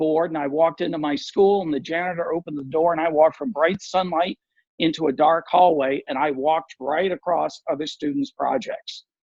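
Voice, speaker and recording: Speaking at a fairly quick pace, a man uses a normal speaking voice, fairly high in pitch with ordinary pitch variation. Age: 60s. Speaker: visually impaired artist and nonprofit advocate. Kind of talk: interview.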